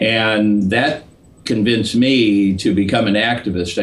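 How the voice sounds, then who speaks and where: A man with a fairly low pitch speaks with fairly even intonation in a room with audible echo. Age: 60s. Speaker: political activist. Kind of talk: interview.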